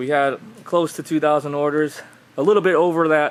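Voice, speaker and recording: Against noticeable background noise, a man speaks in a fairly high, monotone voice with flat intonation at a moderate pace. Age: 20s. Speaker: ecommerce business owner. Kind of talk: casual vlog talk to camera. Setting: warehouse. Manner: casual, informal.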